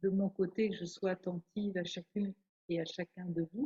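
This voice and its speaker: Speaking very slowly, a woman uses a medium-pitched, somewhat breathy voice with fairly even intonation. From France. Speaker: nun and theologian. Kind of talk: spiritual talk. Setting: hall with audience and online viewers.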